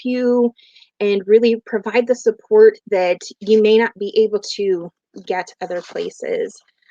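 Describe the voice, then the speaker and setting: Very slowly, a woman speaks at fairly high pitch with fairly even intonation, in a dry, close sound with no echo. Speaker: behavior health professional and parent coach. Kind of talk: live stream talk. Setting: live video stream.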